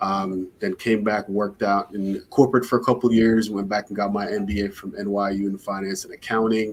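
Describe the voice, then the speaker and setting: At a moderate pace, a man talks with a slight Jamaican accent. His fairly low voice stays monotone and flat. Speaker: startup founder. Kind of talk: interview.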